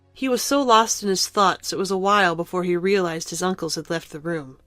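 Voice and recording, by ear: With faint music in the background, a woman talks at a fairly quick pace, her fairly low pitch carrying a fairly bright tone and ordinary pitch variation.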